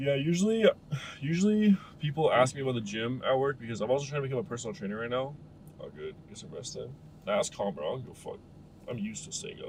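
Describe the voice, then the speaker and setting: Over noticeable background noise, a man speaks very fast at a medium pitch, his pitch swinging very widely and his loudness varying a lot. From Canada, Ontario. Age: 20s. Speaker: streamer. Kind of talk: casual chat. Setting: live stream. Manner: casual, slangy.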